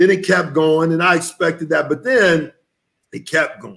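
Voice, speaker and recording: A man with an American accent speaks at a fairly high pitch and a moderate pace, with ordinary pitch variation, against a quiet background. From Texas. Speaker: vegan chef and author; guest. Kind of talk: interview.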